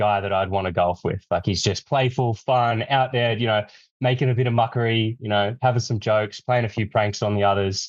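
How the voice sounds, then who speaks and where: With an Australian accent, a man talks at a fairly quick pace in a medium pitch, his pitch varying in an ordinary way against a quiet background. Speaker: streetwear brand representative. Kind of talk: interview.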